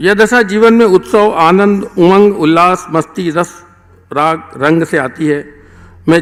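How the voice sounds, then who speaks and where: The pitch of this man's voice sits high, shifting in an ordinary way. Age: 60s. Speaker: author honoured at book launch. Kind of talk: formal speech at book launch.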